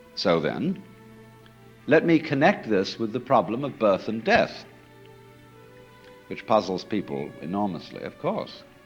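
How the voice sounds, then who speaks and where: With music in the background, a man of medium pitch talks at a fairly slow pace, leaving long, frequent pauses while his pitch swings very widely. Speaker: philosopher and lecturer. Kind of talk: recorded public lecture.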